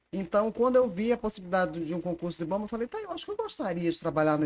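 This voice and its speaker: A woman with medium pitch talks at a very fast pace, her intonation lively. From Ceará, Fortaleza (born in Recife). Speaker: environmental agency manager. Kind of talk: casual interview.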